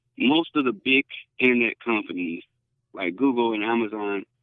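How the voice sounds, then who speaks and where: An ordinary speaking voice is heard here. The pace is moderate. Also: man. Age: 30s. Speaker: futurist and innovation consultant. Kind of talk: podcast interview. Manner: fillers and repetitions.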